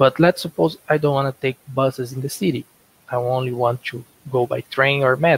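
Somewhat breathy speech in a Portuguese accent at a moderate pace, with big swings in loudness, fairly even intonation, and a dry sound with no echo. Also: man. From Brazil. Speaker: software developer. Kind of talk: conference lightning talk. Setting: video call. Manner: halting. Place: home room. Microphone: headset.

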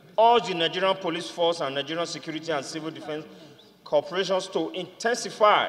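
A man's high-pitched voice with ordinary pitch variation at a moderate pace. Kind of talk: formal reading of a motion. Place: hall.

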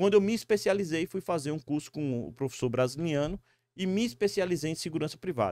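Over a quiet background, a man speaks with lively intonation. The sound is dry with no echo. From Brazil, Northeast (Natal, Rio Grande do Norte); Rio Grande do Norte, Brazil. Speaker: security company executive; guest. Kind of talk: interview. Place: studio. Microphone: studio mic.

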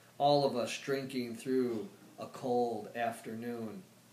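With audible room echo, a man talks at a very slow pace, his pitch varying in an ordinary way. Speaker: poet. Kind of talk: poetry reading. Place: home room. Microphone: camera far.

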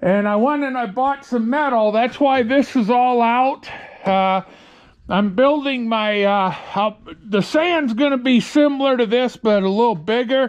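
At a fairly slow pace, a man speaks with an extremely high pitch and ordinary pitch variation against a quiet background. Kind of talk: casual vlog chat. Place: garage. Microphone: phone near.

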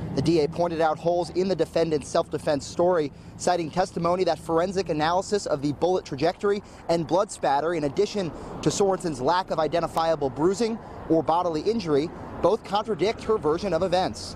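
A man talks very fast in a high voice, with ordinary pitch variation and very even loudness. The sound is dry with no echo, though noticeable background noise is present. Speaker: TV news reporter. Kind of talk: live news report. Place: street. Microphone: handheld.

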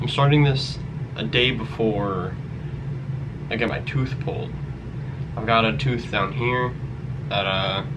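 A man at a fairly slow pace with long, frequent pauses, over noticeable background noise. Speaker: vlogger. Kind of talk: casual vlog chat. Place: home room. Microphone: webcam.

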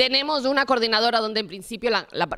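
Against a quiet background, a woman talks at a fairly quick pace. Her tone is bright and sharp, with ordinary pitch variation. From Barcelona area; Spain. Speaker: municipal platform organizer; panelist. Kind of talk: panel talk. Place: classroom. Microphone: handheld.

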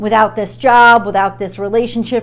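The intonation here is lively. It belongs to a woman. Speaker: tarot reader. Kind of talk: tarot reading monologue. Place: home room. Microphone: lapel.

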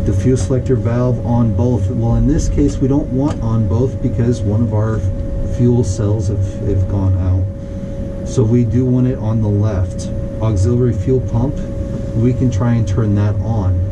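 A man speaks at a fairly slow pace. Loud background noise is present throughout. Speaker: flight instructor. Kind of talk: tutorial. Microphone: camera far.

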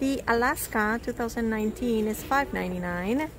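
Over clear background music, a woman speaks at a fairly slow pace. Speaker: shopping vlogger. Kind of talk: casual vlog chat. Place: shop. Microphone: phone near.

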